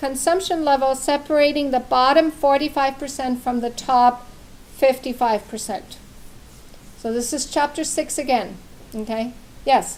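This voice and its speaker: Noticeable background noise sits behind a woman speaking at a fairly slow pace and a high pitch, with ordinary pitch variation. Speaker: math instructor. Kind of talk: classroom lecture. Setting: classroom with students.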